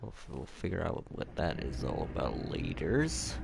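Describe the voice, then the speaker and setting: Vocal fry runs through the voice, delivered at a moderate pace. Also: man. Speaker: gaming streamer. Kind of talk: live gameplay commentary. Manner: halting.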